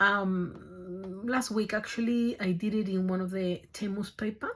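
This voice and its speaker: Very slowly, a woman speaks in a medium-pitched, somewhat breathy voice with fairly even intonation. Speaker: craft YouTuber. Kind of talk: tutorial. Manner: halting.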